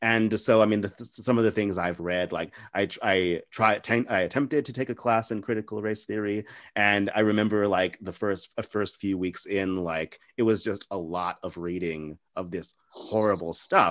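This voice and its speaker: A man with an American accent and an ordinary speaking voice talks at a moderate pace in a fairly low pitch, his intonation fairly even and hardly any pauses between words. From El Paso, far west Texas. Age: 20s. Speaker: podcast interviewer. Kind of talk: casual interview chat. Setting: video call.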